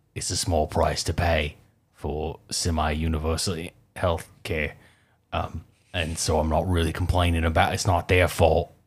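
In a very clean recording with a silent background, a man with a very deep, low pitch speaks at a moderate pace, somewhat breathy and in a monotone, flat intonation. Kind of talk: casual chat. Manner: joking.

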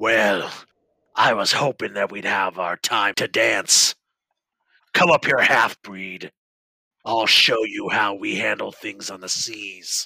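A man performs a put-on character voice that is raspy and booming. He goes at a fairly slow pace with long, frequent pauses. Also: fairly low pitch for a man. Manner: aggressive, taunting, eager for a fight.

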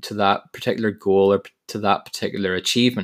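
Speaking at a moderate pace, a man talks with a Northern Irish accent. The recording is very clean, with a silent background. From Northern Ireland. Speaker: podcast host. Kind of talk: motivational monologue.

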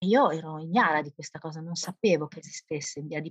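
Pitch varies normally at a moderate speed. The recording is dry and close, without echo. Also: woman. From Bologna area, Italy (grew up in a village near Bologna, time in Livorno). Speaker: primary school teacher. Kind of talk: interview storytelling. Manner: animated.

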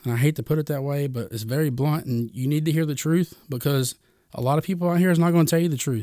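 A man talks very fast in a fairly high voice. His pitch varies in an ordinary way. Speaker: podcast host. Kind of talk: pep talk; casual chat with a prayer. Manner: earnest, warm, urging listeners to repeat a prayer; casual, chatty, rambling with fillers.

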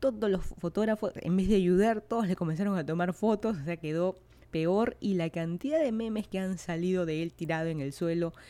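On a very clean recording with a silent background, a woman speaks at a moderate pace with medium pitch, ordinary pitch variation and a dark, mellow tone. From Peru, Lima. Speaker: podcast host. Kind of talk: casual monologue.

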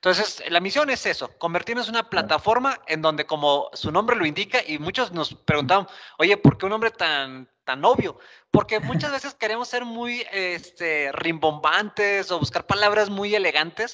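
A man projects a raised voice with a high pitch and a bright, sharp tone. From Mexico, Monterrey. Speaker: podcast co-host, enterprise architect. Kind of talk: casual chat.

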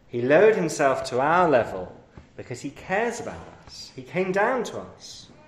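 A man at a fairly high pitch and moderate pace, with very wide pitch swings, big shifts in loudness and noticeable background noise. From London, England. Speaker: preacher. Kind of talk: sermon. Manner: hesitant, many fillers.

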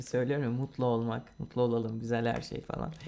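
Here a man talks at a moderate pace. Noticeable background noise runs underneath. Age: 20s. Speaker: podcast co-host. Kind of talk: casual chat.

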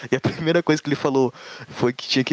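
A man speaks over noticeable background noise. His pitch varies in an ordinary way. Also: dry, close sound with no echo. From Santa Catarina, southern Brazil. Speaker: programmer, site developer. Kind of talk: casual chat.

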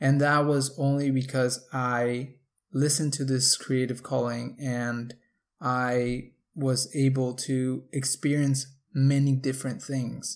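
On a very clean recording with a silent background, a man of medium pitch speaks with a Spanish accent. He talks very slowly in a flat monotone. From Mexico. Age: 20s. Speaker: podcast host. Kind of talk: solo podcast monologue.

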